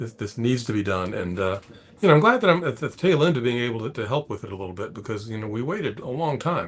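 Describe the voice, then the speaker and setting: With an American accent, a man of medium pitch talks at a very fast pace with lively intonation. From US South, Atlanta. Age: 60s. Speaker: space investor and technology executive. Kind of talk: interview. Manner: halting, many repetitions.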